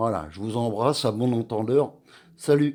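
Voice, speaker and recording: The voice has a dark, mellow tone and moves at a moderate pace. Its pitch varies in an ordinary way. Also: man. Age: 60s. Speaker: vlogger. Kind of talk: personal rant to camera. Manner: halting, with many hesitations.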